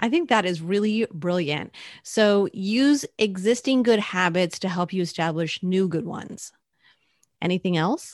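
A normal speaking voice, female, medium in pitch with ordinary pitch variation, fairly slow pace, quiet background. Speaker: content marketing coach. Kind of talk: casual podcast chat.

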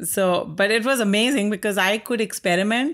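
A woman speaks in an Indian accent. Her pace is fairly quick, with ordinary pitch variation. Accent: Indian accent, moderate. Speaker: artist. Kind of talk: casual interview. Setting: artist's studio.

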